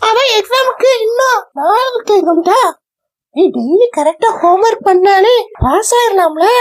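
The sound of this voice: A cartoonish character voice at an extremely high pitch and a fairly slow pace.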